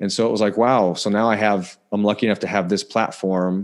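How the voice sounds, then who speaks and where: Against a quiet background, a man with a plain, everyday voice talks at a moderate pace in a fairly low pitch with fairly even intonation. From Indiana, US Midwest. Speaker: physical therapist. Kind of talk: casual interview.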